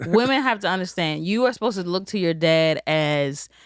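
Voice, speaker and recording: Speaking at a moderate pace, a woman with a fairly low pitch has a plain, everyday voice. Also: very clean recording, silent background. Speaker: podcast host. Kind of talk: casual conversational podcast talk.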